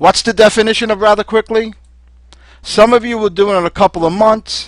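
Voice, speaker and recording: A man speaks with a slight Brooklyn accent at a moderate pace. The sound is dry and close, with no echo. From New York City (Brooklyn). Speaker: home business distributor. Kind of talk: sales pitch. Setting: webinar.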